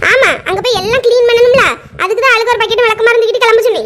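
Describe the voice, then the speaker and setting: A woman performs a cartoonish character voice at an extremely high pitch. Her intonation is monotone and flat, and the pace is very fast. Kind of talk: comic family cartoon voice-over. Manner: teasing, bossy.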